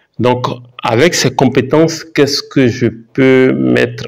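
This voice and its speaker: The speaker is a man. He talks with an Ivorian accent. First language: Baoulé (speaking French). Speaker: YouTuber, mining geologist. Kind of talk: vlog, thinking aloud. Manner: halting, many fillers and repetitions.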